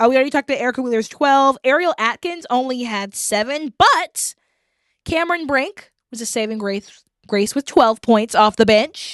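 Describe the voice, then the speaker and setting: Loud and high-pitched, a woman talks at a moderate pace with lively intonation in a dry, close sound with no echo. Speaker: podcast host; teacher. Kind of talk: casual chat.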